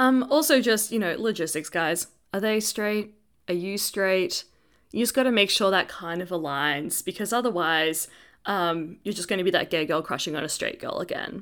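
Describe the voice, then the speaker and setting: In a very clean recording with a silent background, a woman speaks at a moderate pace at medium pitch with lively intonation, in a plain, everyday voice. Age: 20s. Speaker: podcast co-host. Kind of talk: casual chat. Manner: laughs often.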